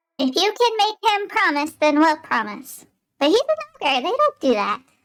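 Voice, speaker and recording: A woman puts on a squeaky character voice at an extremely high pitch, with very wide pitch swings and a moderate pace. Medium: actual play. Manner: anxious, questioning.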